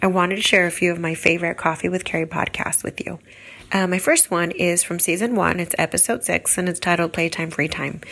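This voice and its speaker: A woman's fairly low, fairly quick voice with fairly even intonation and an American accent, over noticeable background noise. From California. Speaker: listener, homeschooling mom. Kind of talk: recorded listener testimonial.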